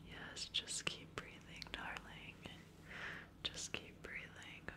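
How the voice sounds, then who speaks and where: A woman at a very slow pace amid loud background noise. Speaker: ASMR creator. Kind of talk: ASMR whisper session. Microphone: studio mic.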